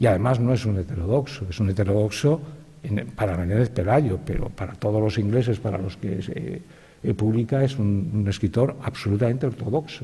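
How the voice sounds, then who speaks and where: A man's dark, mellow, somewhat breathy voice at a fairly low pitch and a moderate pace. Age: 60s. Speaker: writer, panelist. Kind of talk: panel talk. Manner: halting, with fillers and repetitions.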